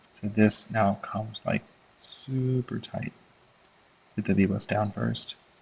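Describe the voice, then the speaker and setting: A man speaks very slowly in a fairly low, somewhat breathy voice. His intonation is monotone and flat, with long, frequent pauses. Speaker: electronics design tutorial creator. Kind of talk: tutorial. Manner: hesitant, many fillers.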